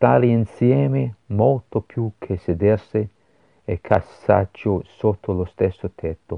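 Intonation is lively while the delivery moves very slowly. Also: man, fairly low pitch for a man. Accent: Scottish. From Scotland, Glasgow. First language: English (speaking Italian). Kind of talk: religious meditation. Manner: halting.

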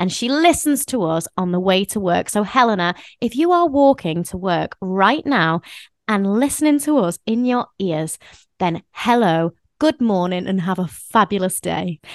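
Over a quiet background, a woman speaks at a moderate pace in a medium pitch with lively intonation, the sound dry and close with no echo. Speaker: podcast co-host and performer. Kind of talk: casual chat.

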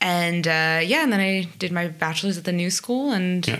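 Audible room echo surrounds a woman with a New Jersey accent whose bright, sharp tone has a fairly low pitch, ordinary pitch variation and a moderate pace. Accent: American (New Jersey). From US, New Jersey (South Orange). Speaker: jazz trumpet player. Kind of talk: casual interview.

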